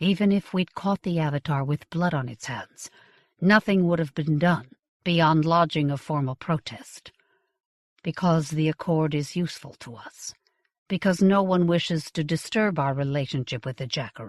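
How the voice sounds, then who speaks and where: Putting on a strained character voice, a woman speaks at a moderate pace and a very deep, low pitch with ordinary pitch variation, the sound dry and close with no echo. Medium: read story. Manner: cold, restrained.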